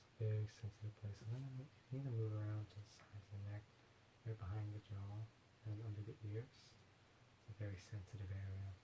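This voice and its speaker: Whispering and soft-spoken, a man talks at a very fast pace in a somewhat breathy voice, broken by long, frequent pauses. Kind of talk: ASMR massage. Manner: soft-spoken, whispered.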